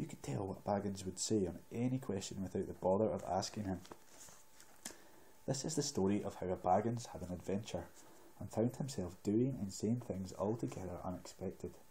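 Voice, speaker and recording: A soft-spoken man with a Scottish accent, a somewhat breathy, dark and mellow tone, ordinary pitch variation and a fairly quick pace. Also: fairly low pitch for a man. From Scotland. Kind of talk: ASMR book reading.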